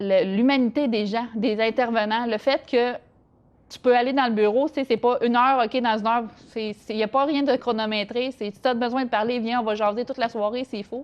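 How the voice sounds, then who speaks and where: Here a woman talks at a fairly quick pace. Her pitch is fairly high, and her intonation stays fairly even. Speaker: interview guest sharing life story. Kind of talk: interview testimony. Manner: halting, many hesitations.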